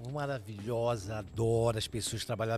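A somewhat breathy man, with fairly even intonation. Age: 60s. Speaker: TV presenter and radio broadcaster. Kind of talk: casual chat.

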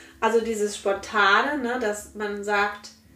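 There is audible room echo as a woman speaks in a fairly high voice. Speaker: mother and local councillor. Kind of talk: casual interview chat.

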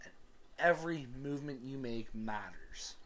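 A man's voice with ordinary pitch variation. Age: 20s. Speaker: sports podcast host and comedian. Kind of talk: solo casual sports commentary. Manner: animated.

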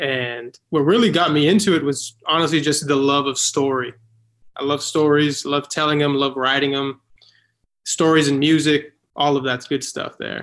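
Talking at a moderate pace, a man with an ordinary speaking voice has a fairly high pitch and fairly even intonation. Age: 20s. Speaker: actor and filmmaker. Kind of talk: casual interview.

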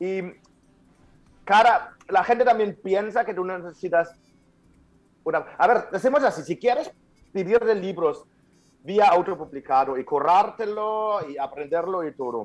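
Pausing long and often, a man with a high pitch speaks with big swings in loudness. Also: lively intonation, fairly slow pace. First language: German (speaking Spanish). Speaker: author and speaker. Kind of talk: interview. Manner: halting.

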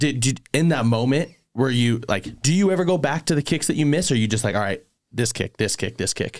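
A man talks fairly quickly in an ordinary speaking voice at medium pitch, with lively intonation and very even loudness. The recording is very clean, with a silent background. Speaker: podcast host. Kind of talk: casual chat.

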